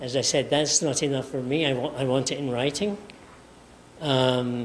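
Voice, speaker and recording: A man with a Scottish accent speaks at a moderate pace and medium pitch. His intonation is fairly even, and the room echo is audible. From Scotland. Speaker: professor. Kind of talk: lecture. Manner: halting.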